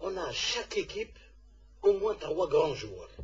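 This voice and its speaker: A man does the talking. The variation in his pitch is ordinary. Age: 60s. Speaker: football club president. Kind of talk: radio interview. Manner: halting.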